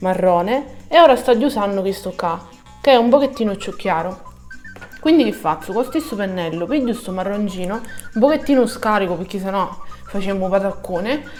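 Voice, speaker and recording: A woman with a Sicilian accent, medium pitch and lively intonation at a moderate pace, music in the background. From Sicily. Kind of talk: makeup tutorial talk to camera. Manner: casual, chatty.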